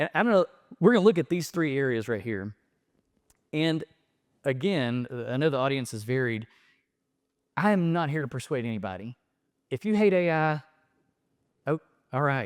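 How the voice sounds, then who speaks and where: Speaking with a Southern US accent, a man uses a fairly high pitch with very wide swings and an animated tone, leaving long, frequent pauses. The sound is dry and close with no echo, on a very clean recording with a silent background. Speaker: professor. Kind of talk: lecture. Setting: stage with audience. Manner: fast.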